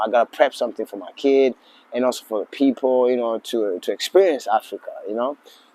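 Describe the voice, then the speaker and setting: A man with an American accent speaks at a very fast pace. There is noticeable background noise. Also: big swings in loudness. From Tanzania (Mwanza), then US Central Coast from age fifteen. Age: 40s. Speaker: lodge owner. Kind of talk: interview. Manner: halting, many fillers.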